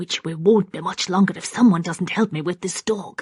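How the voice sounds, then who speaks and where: A quiet, growling, put-on character voice sounds female, sitting at medium pitch. It moves along at a moderate pace. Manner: harried, hushed.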